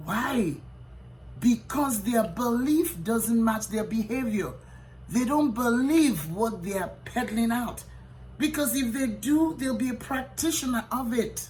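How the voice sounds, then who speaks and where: A woman's fairly high, lively voice at a fairly slow pace, with audible room echo. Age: 60s. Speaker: physician. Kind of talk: motivational talk. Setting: hotel room. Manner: emphatic, repeats lines.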